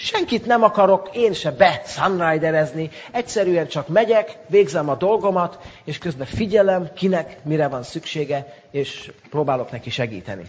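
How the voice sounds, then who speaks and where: A man with a Hungarian accent talks at a moderate pace with a high pitch and lively intonation. Noticeable background noise runs underneath. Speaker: interpreter. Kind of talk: consecutive interpreting.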